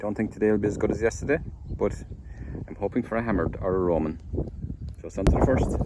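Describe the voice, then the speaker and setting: Speech comes very fast from a man. Behind it, background noise is noticeable. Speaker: metal detectorist vlogger. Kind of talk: casual vlog narration. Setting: outdoors.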